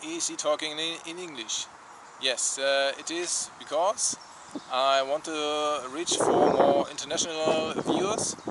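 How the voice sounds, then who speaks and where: With a German accent, a man speaks at a fairly high pitch and fairly slow pace over noticeable background noise. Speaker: travel vlogger. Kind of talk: casual vlog talk. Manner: halting, many fillers.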